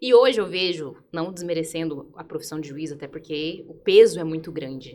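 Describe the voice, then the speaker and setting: In a Goiás accent, the speaker's loudness swings widely. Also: woman, fairly low pitch for a woman, ordinary pitch variation, moderate pace. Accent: Goiás accent, often taken for Minas Gerais. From Brazil, Goiânia (Goiás). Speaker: lawyer. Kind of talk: podcast panel interview.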